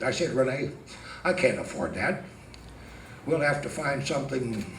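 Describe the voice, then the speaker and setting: A man is heard with audible room echo. Noticeable background noise is present too. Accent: American. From Northern California. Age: 70s. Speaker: amateur stand-up comedian. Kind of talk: stand-up. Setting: stage with audience.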